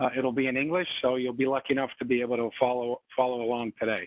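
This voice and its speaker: In an American accent, a man speaks fairly quickly at a medium pitch. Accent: slight twang, often mistaken for New York. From Canada, Montreal. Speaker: financial presenter. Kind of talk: webinar presentation. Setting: online webinar.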